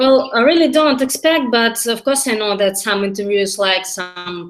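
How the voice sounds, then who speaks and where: Speaking with a Russian accent, a woman keeps a moderate pace and ordinary pitch variation. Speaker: language learner. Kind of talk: mock job interview practice. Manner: halting.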